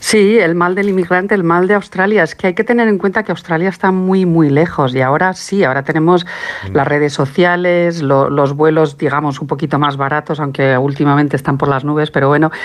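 Over noticeable background noise, a woman with a very deep, low pitch talks at a fairly quick pace with hardly any pauses, very even loudness and ordinary pitch variation. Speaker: documentary maker and researcher. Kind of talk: interview.

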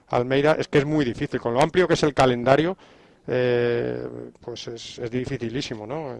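This man has a plain, everyday voice of medium pitch. He moves at a fairly quick pace with fairly even intonation. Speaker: sports commentator. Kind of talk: panel discussion.

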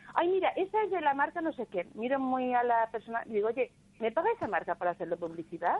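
With noticeable background noise behind her, a woman speaks very fast at a high pitch, her pitch swinging very widely. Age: 60s. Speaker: caller. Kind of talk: phone-in call.

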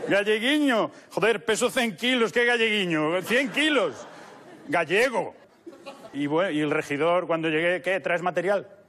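A high-pitched man's voice, lively in intonation and very even in loudness, at a fairly slow pace over noticeable background noise. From Galicia, Culleredo near A Coruña. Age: 30s. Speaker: actor and comedian. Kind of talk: casual interview.

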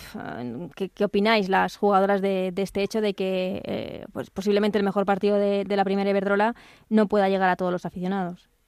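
A woman with a plain, everyday voice speaks at a fairly quick pace and medium pitch, her intonation fairly even, on a very clean recording with a silent background. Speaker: radio sports podcast host. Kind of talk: sports radio interview and analysis.

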